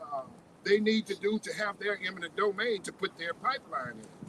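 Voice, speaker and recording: At a moderate pace, a man with an American accent speaks in a high pitch with ordinary pitch variation, over noticeable background noise. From Pembroke, Illinois (rural US Midwest). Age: 60s. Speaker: farmer and community advocate. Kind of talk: public speech at a rally. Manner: halting, many repetitions and fillers.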